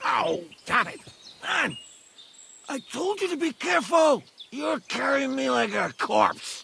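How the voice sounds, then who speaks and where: A man's gruff, put-on character voice at a fairly slow pace, with long, frequent pauses. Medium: video game. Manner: crude, cursing, gruff.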